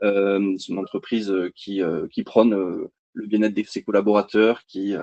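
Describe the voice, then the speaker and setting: A man speaks with a slight southern French accent at a moderate pace and a fairly low pitch. The sound is dry and close with no echo, over a quiet background. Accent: slight sing-song southern French. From southern France, Montpellier. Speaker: energy company sales representative. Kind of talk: webinar presentation. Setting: online webinar. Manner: hesitant, many fillers.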